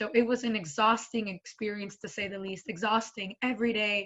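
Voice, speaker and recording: A woman talks in a Spanish accent at a fairly high pitch. Her intonation is monotone and flat, and her pace fairly quick. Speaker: school board member. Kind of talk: panel talk.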